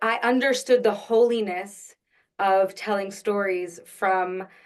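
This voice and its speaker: A woman with a New York accent, medium pitch, fairly even intonation and a very slow pace. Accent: New York American. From Long Island, New York. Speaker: actress and Yiddish singer. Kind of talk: casual interview.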